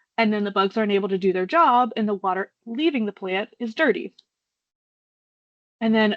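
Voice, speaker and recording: An ordinary speaking voice from a woman, fairly high-pitched and fairly quick, with ordinary pitch variation and a dry, close sound with no echo over a quiet background. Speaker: state water pretreatment coordinator. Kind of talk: webinar presentation.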